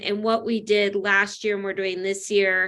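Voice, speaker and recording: A woman speaks at a medium pitch and a fairly quick pace. Her intonation stays fairly even over a quiet background. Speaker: educator presenting to a school committee. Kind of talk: presentation in an online meeting. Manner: fast; frequent filler words.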